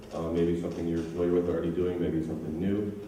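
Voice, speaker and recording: In an American accent, a man speaks with a very deep, low pitch and monotone, flat intonation, over noticeable background noise and audible room echo. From United States. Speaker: software engineer and conference speaker. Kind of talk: conference talk. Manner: hesitant, many fillers.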